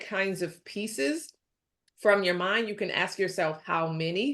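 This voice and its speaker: Over a quiet background, the speaker uses an animated tone at a fairly slow pace with ordinary pitch variation. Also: woman. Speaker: resume expert panelist. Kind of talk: webinar panel advice talk.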